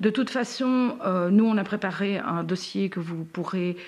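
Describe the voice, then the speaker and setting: At a fairly slow pace, a woman with a medium pitch speaks in a normal speaking voice. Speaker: podcast host and patient advocate. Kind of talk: live-stream interview. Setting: Facebook live stream.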